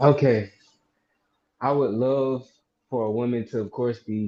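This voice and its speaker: With a dark, mellow tone and a medium pitch, a man speaks at a moderate pace in a monotone, flat intonation. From Mississippi. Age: 20s. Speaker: caller. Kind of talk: casual chat. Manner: halting.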